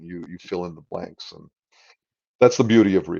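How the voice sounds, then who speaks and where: This man has a fairly low voice with ordinary pitch variation. The background is quiet. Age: 60s. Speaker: writer. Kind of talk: casual chat. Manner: animated.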